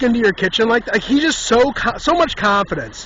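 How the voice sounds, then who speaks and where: A man's extremely high voice, fairly quick and lively in intonation, over noticeable background noise. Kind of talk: casual storytelling monologue. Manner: fast; animated.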